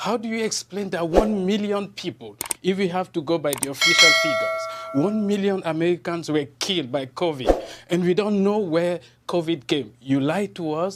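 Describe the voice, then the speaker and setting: A man with a high-pitched voice speaks at a moderate pace with ordinary pitch variation. Noticeable background noise runs throughout. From Cameroon. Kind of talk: TV news interview. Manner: halting, many repetitions and fillers.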